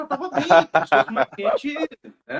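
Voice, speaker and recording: A man speaks at a very fast pace with very wide pitch swings. The sound is dry and close, with no echo. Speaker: hairdresser. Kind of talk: casual chat.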